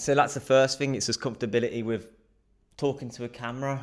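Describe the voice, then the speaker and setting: Recorded very cleanly on a silent background, a man speaks with a southern English accent. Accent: British English (southern England). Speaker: vlogger practising speaking to camera. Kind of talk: casual vlog monologue. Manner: fast; frequent filler words and breaths.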